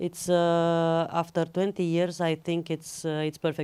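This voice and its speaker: Speaking at a fairly slow pace, a woman with a Romanian accent has a dark, mellow tone. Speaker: film editor. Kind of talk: Q&A after screening. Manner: halting, many fillers.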